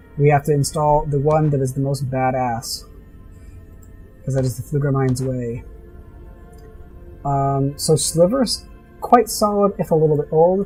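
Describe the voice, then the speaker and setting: A man's fairly high-pitched voice with ordinary pitch variation and long, frequent pauses, music playing in the background. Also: moderate pace. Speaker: gaming let's-play host. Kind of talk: casual gameplay commentary. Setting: home recording, heater noise.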